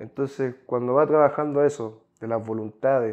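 A man speaks at a moderate speed, intonation fairly even, with quiet all around. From Chile. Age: 20s. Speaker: psychology graduate; podcast guest. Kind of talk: casual chat. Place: home room. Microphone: lapel.

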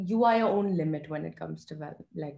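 A woman with a dark, mellow tone talks at a fairly quick pace. Audible room echo surrounds her, though the background is quiet. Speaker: mental health foundation founder, psychology student. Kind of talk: podcast interview answer. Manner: soft-spoken. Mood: earnest, reflective. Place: home room. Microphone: video call.

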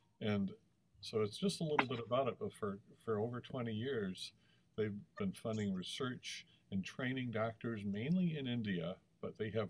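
A man with an American accent and an ordinary speaking voice, at fairly low pitch and moderate pace, with ordinary pitch variation. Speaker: webinar host. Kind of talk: webinar introduction and closing. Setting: video call.

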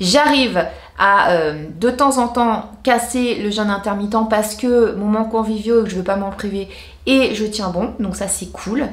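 Audible room echo accompanies a woman speaking fairly slowly at a fairly high pitch. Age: 40s. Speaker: beauty and lifestyle YouTuber; vlogger. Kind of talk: casual vlog talking to camera. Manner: animated. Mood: cheerful, enthusiastic. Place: home room.

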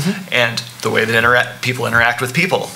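Words come out at a very fast pace from this man. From Arkansas. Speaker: cartoonist; panelist. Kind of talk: panel discussion. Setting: stage with audience. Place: hall. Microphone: podium.

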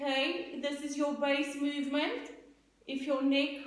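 A woman talks with a calm tone at a fairly slow pace and high pitch, with audible room echo. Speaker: Pilates instructor. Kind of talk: guided exercise class, spoken cues. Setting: home video workout. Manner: calm, encouraging, rhythmic; warm, upbeat, laughs at own slip. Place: home room. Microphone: camera far.

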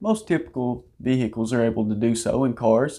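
Ordinary pitch variation marks a man's fairly slow speech. Nothing much is heard behind him, as the background stays quiet. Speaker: auto channel host. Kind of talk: product explainer.

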